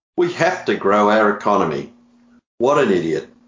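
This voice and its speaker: The speaker has an Australian accent and lively intonation. The pace is moderate. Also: man. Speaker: comedian co-host.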